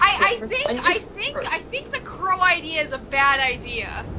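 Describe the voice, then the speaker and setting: A put-on character voice at an extremely high pitch goes at a moderate pace over clear background noise. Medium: actual play.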